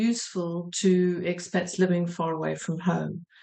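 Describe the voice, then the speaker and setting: The voice has a South African accent, a moderate pace, and monotone, flat intonation. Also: woman. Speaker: sales director. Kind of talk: panel introduction.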